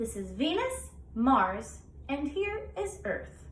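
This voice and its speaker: Clear background noise sits under a woman doing a put-on character voice at a very slow pace. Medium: read story.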